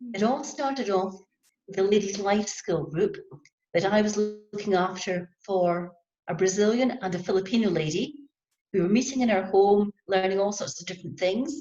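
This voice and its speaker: Somewhat breathy, a woman with a Scottish accent talks at a moderate pace and medium pitch, with ordinary pitch variation and long, frequent pauses. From Scotland. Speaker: handcraft business owner. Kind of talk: panel discussion.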